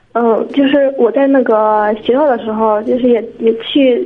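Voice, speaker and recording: Noticeable background noise under a woman's fairly high-pitched voice and fairly even intonation. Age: 20s. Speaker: caller seeking career advice. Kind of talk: call-in advice conversation. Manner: halting, many fillers.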